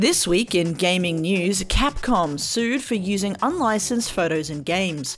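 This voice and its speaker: A woman with medium pitch has an unremarkable speaking voice. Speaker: news segment presenter. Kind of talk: news reading. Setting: radio studio.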